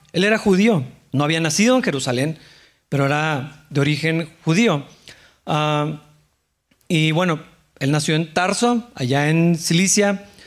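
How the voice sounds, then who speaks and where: At a fairly slow pace with long, frequent pauses, a man with a fairly high pitch talks at very even loudness and ordinary pitch variation. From Mexico. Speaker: pastor. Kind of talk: sermon.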